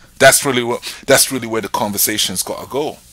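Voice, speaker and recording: A man's voice sits at a medium pitch. It has a bright, sharp tone. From England. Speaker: podcast host. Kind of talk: casual chat.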